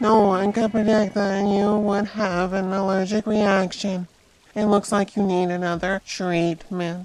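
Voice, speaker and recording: In a put-on character voice, a female-sounding speaker at medium pitch talks at a fairly slow pace with a monotone, flat intonation. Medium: machinima. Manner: formal, no contractions.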